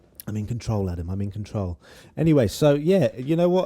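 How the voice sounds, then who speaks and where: A man with a British accent talks at a very fast pace, his pitch medium. The recording is very clean, with a silent background. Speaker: YouTuber. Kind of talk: casual Q&A monologue. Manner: casual, hesitant with fillers.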